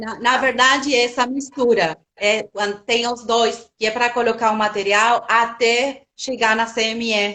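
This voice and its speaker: A woman with a Spanish accent, fairly high-pitched and monotone, at a fairly slow pace with hardly any pauses. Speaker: biologist, product specialist. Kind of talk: live webinar Q&A. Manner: halting.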